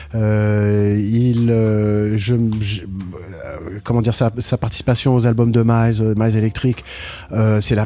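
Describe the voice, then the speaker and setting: Fairly even in intonation, a man speaks at medium pitch with a dark, mellow tone. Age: 60s. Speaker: jazz pianist. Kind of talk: radio interview. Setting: radio studio, live broadcast. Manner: halting, with many repeated words.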